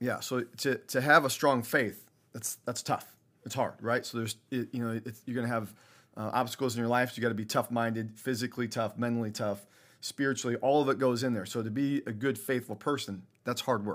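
Over a silent background in a very clean recording, a man speaks fairly quickly at a medium pitch with monotone, flat intonation. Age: 40s. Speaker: high school football coach. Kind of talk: interview.

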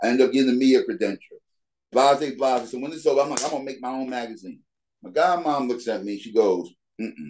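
A man talks at a very fast pace in an American accent. His loudness swings widely. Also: medium pitch for a man, ordinary pitch variation. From New York (Bronx). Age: 40s. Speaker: basketball league founder. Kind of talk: casual interview.

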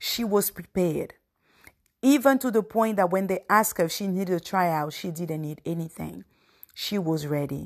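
Recorded very cleanly with a silent background, a woman uses a normal speaking voice at a medium pitch and moderate pace, her intonation lively. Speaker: podcast host. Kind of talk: solo devotional talk. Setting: podcast recording. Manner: reflective, conversational.

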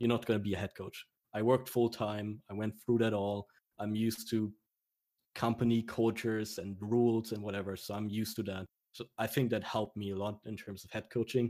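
A man with a German accent speaks at a fairly quick pace in a fairly low, dark, mellow tone, his intonation monotone and flat. The recording is very clean, with a silent background. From Germany. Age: 20s. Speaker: esports coach. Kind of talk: casual interview.

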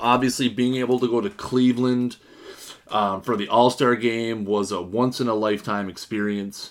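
At a medium pitch and moderate pace, a man speaks with ordinary pitch variation. The recording is very clean and the background silent. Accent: Canadian. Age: 30s. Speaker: podcast host. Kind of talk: solo podcast monologue.

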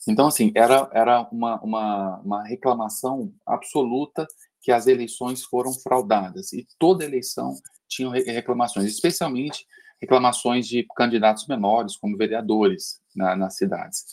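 Over a very clean recording with a silent background, a man talks at a moderate pace and medium pitch with lively intonation. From Minas Gerais, Brazil (Uberlândia). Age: 50s. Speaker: podcast guest. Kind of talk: casual discussion. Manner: halting, repetitive starts.

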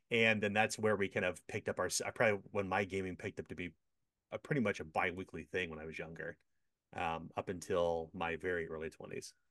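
Against a quiet background, a man with an American accent speaks very fast in a very deep, low voice with fairly even intonation. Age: 40s. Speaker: game designer and publisher. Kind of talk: casual interview.

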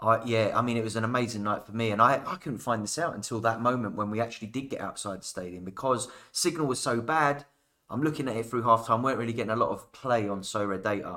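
Talking at a very fast pace with a British accent, a man uses a medium pitch and ordinary pitch variation in a bright, sharp tone, captured on a very clean recording with a silent background. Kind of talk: casual chat. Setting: in studio, in person.

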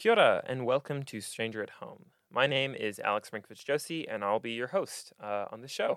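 A man talks at a fairly quick pace with an American accent. His loudness swings widely. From Singapore. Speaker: podcast host and university student. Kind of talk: casual interview chat. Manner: nervous but excited.

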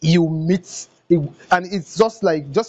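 At a moderate pace, a man talks with a northern Nigerian accent. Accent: Nigerian English, Hausa. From northern Nigeria, Kano. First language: Hausa. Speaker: comedian and content creator. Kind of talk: interview. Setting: video call.

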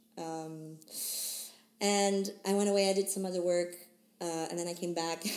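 A woman with a fairly low pitch speaks at a moderate pace, in monotone, flat intonation, with long, frequent pauses. Noticeable background noise and audible room echo surround her. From Switzerland. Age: 20s. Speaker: singer-songwriter. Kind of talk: casual chat.

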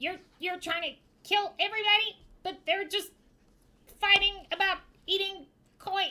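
Using a put-on character voice at an extremely high pitch, a woman speaks at a moderate pace with long, frequent pauses. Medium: actual play.

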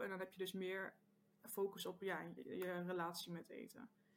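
A woman's voice with monotone, flat intonation. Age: 20s. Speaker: maths teacher and social media creator. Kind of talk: casual interview chat. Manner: hesitant, many filler sounds.

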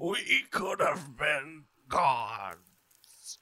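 A man's put-on character voice, raspy and fairly high-pitched

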